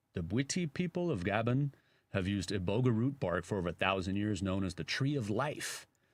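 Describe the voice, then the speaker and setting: With a Chicago accent, a man speaks in a fairly low pitch at a moderate pace with lively intonation, on a very clean recording with a silent background. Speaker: radio host. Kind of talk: casual chat.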